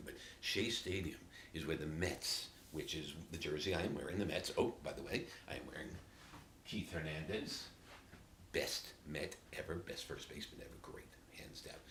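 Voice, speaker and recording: Here, a man with a New York accent speaks at a very deep, low pitch. Audible room echo surrounds his voice. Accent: New York City. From New York City, Queens (Flushing). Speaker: native dialect sample speaker. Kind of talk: casual storytelling monologue.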